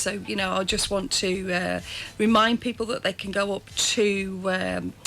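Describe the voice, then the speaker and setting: Noticeable background noise sits behind a woman at medium pitch. She talks at a moderate pace with monotone, flat intonation. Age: 50s. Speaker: local politician. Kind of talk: radio interview. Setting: radio studio.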